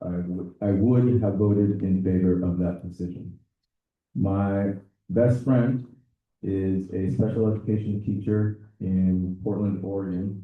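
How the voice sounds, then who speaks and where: This man has a fairly low pitch and speaks at a fairly slow pace. His intonation stays fairly even. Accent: Spanish. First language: Spanish. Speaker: teacher and board candidate. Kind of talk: interview answers. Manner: halting.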